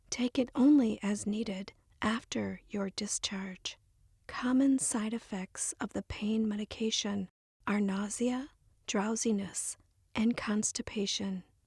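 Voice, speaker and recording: Soft-spoken and somewhat breathy, the speaker talks at a very slow pace with fairly even intonation, in a dry, close sound with no echo on a very clean recording with a silent background. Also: woman, fairly high pitch for a woman. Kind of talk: ASMR reading of instructions.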